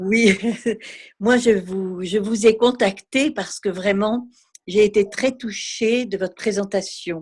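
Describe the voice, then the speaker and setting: A woman speaks at a very slow pace. Her medium-pitched voice keeps a fairly even intonation. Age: 50s. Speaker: art therapist. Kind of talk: question from participant.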